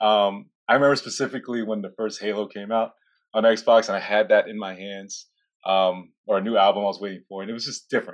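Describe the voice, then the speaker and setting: A plain, everyday voice speaks at a fairly quick pace with fairly even intonation. The loudness swings widely over a quiet background. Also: man, fairly low pitch for a man. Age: 30s. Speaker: security engineer. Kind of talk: interview.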